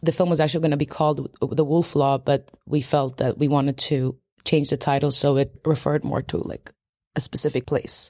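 The sound is dry and close, with no echo, and the tone is dark and mellow. Delivery runs at a fairly quick pace with monotone, flat intonation. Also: woman. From Sweden, Polish immigrant family. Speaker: documentary film director. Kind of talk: interview. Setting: public library with children in background.

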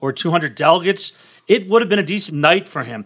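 The very clean recording with a silent background captures a man with an American accent. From Washington, D.C. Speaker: investment officer. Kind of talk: casual interview.

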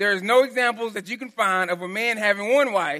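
A raised, projected voice with a strong Texan accent comes at a fairly quick pace, bright, sharp and animated in tone. The recording is very clean, with a silent background. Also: man. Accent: Texan, heavy twang. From Texas. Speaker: pastor. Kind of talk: sermon. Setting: church. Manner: animated, casual.

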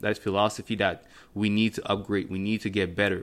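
A French accent with monotone, flat intonation on a very clean recording with a silent background. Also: man. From Cameroon-born, raised in Montreal. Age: 20s. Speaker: podcast host, fitness entrepreneur. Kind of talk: casual solo talk, podcast intro. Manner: conversational, filler words.

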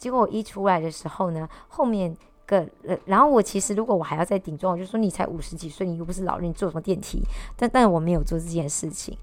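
Her speech comes at a very fast pace. This woman's pitch sits in the medium range and varies in an ordinary way. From Malaysia. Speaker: vlogger. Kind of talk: casual monologue. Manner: halting.

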